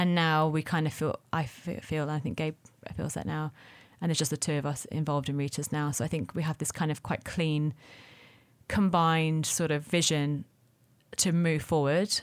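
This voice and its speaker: Speaking in a London accent at a moderate pace, a woman with a very deep, low pitch keeps fairly even intonation in a very clean recording with a silent background. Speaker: restaurateur. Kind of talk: casual chat.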